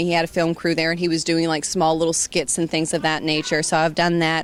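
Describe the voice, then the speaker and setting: A woman with a slight Southern US accent, on a very clean recording with a silent background. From Georgia, US South. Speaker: voice actress. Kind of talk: interview. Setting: fan convention. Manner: animated.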